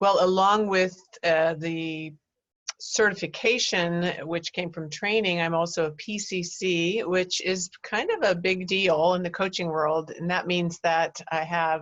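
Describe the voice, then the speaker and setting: A woman talks in a normal speaking voice at a fairly low pitch, with fairly even intonation and a fairly slow pace. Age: 60s. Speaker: life coach. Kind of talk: interview.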